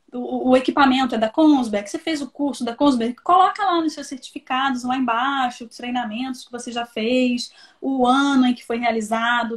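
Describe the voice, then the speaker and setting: Big swings in loudness mark this woman's high-pitched speech, which has hardly any pauses. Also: ordinary pitch variation, moderate pace. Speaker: recruitment consultant. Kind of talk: live stream interview giving career advice. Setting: online live stream.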